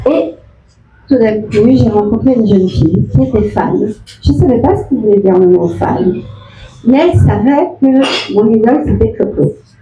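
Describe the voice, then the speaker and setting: Speaking at a moderate pace with long, frequent pauses, a woman with a medium pitch makes very wide pitch swings while keeping her loudness very even over noticeable background noise. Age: 60s. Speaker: former dancer and performer. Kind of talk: speech at book signing.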